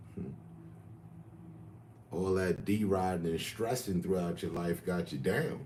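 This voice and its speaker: Very deep and low in pitch, this man's voice has a dark, mellow tone. He is somewhat breathy and speaks at a fairly slow pace. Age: 50s. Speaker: livestreamer. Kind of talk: casual chat.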